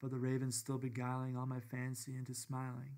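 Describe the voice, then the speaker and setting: A man speaks at a medium pitch with an American accent. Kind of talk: poetry reading. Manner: understated.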